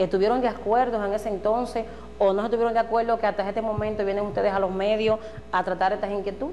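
A woman speaks very fast at a medium pitch with fairly even intonation, light background noise behind her. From Dominican Republic. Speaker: local TV host. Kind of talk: political interview. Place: studio.

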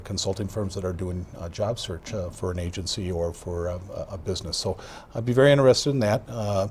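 A man speaks with an American accent at a fairly quick pace. His voice is somewhat breathy. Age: 60s. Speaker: outgoing county sheriff. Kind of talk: TV interview. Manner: halting, many fillers and repetitions.

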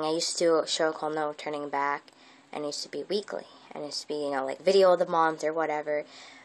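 The pace is very fast. The intonation stays fairly even. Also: woman. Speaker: vlogger. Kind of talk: casual vlog chat. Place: home room. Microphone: earbuds.

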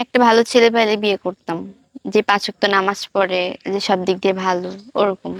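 A woman speaks in a flat, monotone way. The sound is dry and close, with no echo. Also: medium pitch for a woman. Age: 20s. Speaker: young woman seeking marriage. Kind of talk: interview answers.

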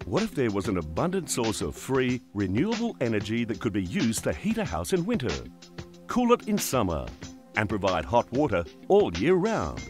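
With music in the background, a man with a medium pitch talks in an Australian accent, his pitch swinging very widely. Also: moderate pace. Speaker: voiceover narrator. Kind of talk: corporate explainer narration.

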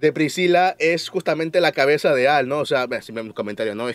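The pace is fairly quick with ordinary pitch variation. The sound is dry with no echo over a quiet background. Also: man. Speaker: anime reviewer. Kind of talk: casual review commentary.

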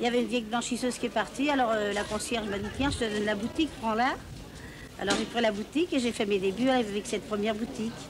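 Very fast speech with ordinary pitch variation against noticeable background noise. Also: woman. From Paris. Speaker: market shopkeeper. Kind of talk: interview answer. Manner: casual, hesitant. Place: street. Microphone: old recording.

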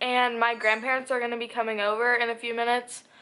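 A woman with a high pitch. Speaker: lifestyle vlogger. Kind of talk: casual vlog. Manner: casual, filler words.

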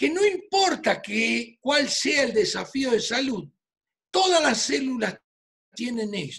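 A man with an Argentine accent, extremely high pitch, very wide pitch swings and a very slow pace. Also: quiet background. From Argentina, Buenos Aires. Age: 60s. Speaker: physician. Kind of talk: presentation. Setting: video call. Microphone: video call.

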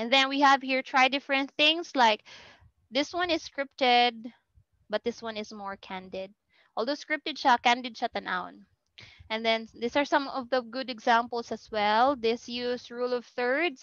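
In a Filipino accent, a woman speaks at a high pitch and a moderate pace. The sound is dry with no echo, over a quiet background. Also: ordinary pitch variation. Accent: Filipino English, Cebuano-speaking. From Philippines. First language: Cebuano. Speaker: university lecturer. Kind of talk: lecture. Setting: video call. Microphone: video call.

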